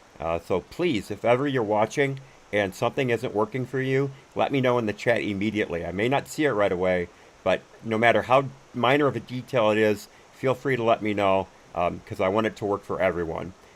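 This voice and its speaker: Speaking with ordinary pitch variation, a man keeps a fairly quick pace at a medium pitch. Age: 60s. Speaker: gaming streamer and commentary host. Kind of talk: casual live stream chat while gaming. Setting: live stream from home. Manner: halting, many fillers and restarts.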